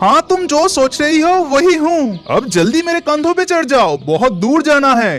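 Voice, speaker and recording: Against clear background noise, a high-pitched cartoonish character voice goes at a moderate pace with hardly any pauses. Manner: authoritative, kindly.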